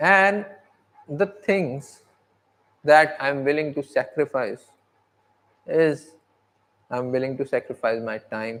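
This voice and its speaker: Speaking at a very slow pace, a man uses a fairly high pitch with ordinary variation. Long, frequent pauses break up his speech. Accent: non-native. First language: not English. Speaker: aspiring content creator. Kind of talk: livestream monologue. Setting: sitting outside by natural light at home. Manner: halting.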